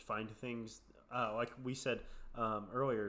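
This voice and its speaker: A man speaks with a bright, sharp tone and fairly even intonation. Audible room echo surrounds his voice. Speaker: podcast co-host. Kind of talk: casual podcast chat.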